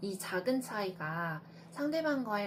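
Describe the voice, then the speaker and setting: Amid noticeable background noise, a woman with a medium pitch talks at a fairly slow pace, her pitch swinging very widely. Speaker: traditional clothing dyer and maker. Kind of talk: talk giving advice.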